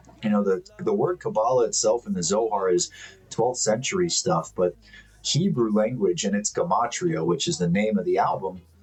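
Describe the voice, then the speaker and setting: There is noticeable background noise as a man with an American accent talks at a moderate pace in a medium pitch. His pitch swings very widely while his loudness stays very even. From Miami, Florida, US. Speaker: spiritual commentator. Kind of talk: monologue to camera.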